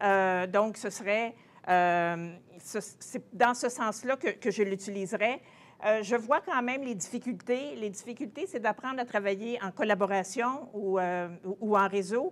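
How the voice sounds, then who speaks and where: A woman, fairly high in pitch, fairly slow, with ordinary pitch variation, in a very clean recording with a silent background. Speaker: translation professor. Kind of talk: conference presentation. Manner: halting.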